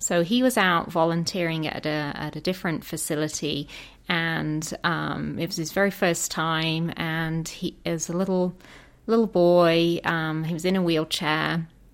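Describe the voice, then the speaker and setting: A woman with an English Midlands accent speaks at a fairly slow pace and a fairly low pitch in a very clean recording with a silent background. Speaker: horse therapy program director. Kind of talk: interview. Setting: studio.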